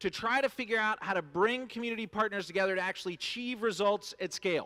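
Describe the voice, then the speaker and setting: A man's high-pitched, raised and projected voice, bright and sharp in tone, at a very fast pace with ordinary pitch variation. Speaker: nonprofit executive, keynote speaker. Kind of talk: keynote speech. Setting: stage with audience at luncheon.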